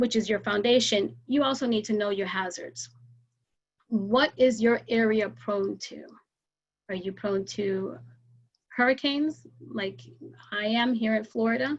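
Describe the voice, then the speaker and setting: A woman's fairly high, somewhat breathy voice at a fairly slow pace, with ordinary pitch variation and long, frequent pauses. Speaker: emergency preparedness educator. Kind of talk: presentation with slides.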